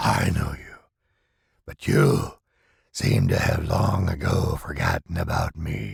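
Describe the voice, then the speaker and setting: A man puts on a raspy character voice with a very deep, low pitch. He talks at a fairly slow pace, with long pauses that come often. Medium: read story. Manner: menacing, intimate.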